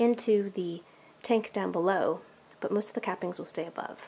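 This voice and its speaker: A woman speaks at a fairly quick pace. Her intonation is fairly even over light background noise. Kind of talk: tutorial vlog. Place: home room. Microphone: phone near.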